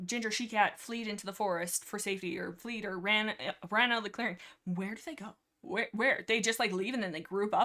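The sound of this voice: An unforced reading voice is heard over a quiet background.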